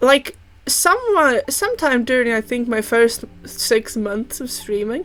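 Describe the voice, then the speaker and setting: Speaking very slowly, a woman uses a high pitch and lively intonation. She has a slight non-native accent. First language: not English. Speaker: vtuber streamer. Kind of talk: casual chat. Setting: livestream. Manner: halting.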